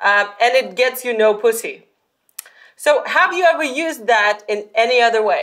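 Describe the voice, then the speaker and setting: In a non-native accent, a woman speaks at a moderate pace with a high pitch and lively intonation. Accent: noticeable non-Russian foreign. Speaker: podcast host. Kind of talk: interview.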